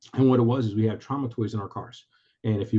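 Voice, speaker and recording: This voice rushes along at a very fast pace, somewhat breathy and in a monotone, flat intonation. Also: man. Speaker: retired police commander, military veteran. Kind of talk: webinar presentation. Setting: video call. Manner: halting.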